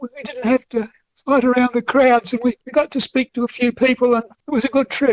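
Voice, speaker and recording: With a South Australian accent, a man speaks at a fairly quick pace in an extremely high pitch, his intonation fairly even. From Australia, Adelaide. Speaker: author and train enthusiast. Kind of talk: radio interview.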